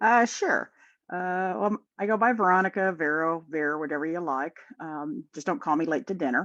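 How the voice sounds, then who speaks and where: This woman has a Midwestern accent and a fairly low pitch. Her intonation is lively at a moderate pace, and the background is quiet. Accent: Midwest. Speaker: podcast guest, fan. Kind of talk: casual chat.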